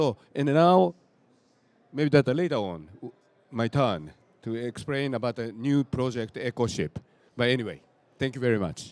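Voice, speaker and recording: With a Japanese accent, a man speaks with lively intonation and long, frequent pauses, the sound dry and close with no echo. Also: medium pitch for a man, moderate pace. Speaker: nonprofit founder. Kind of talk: panel introduction. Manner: halting.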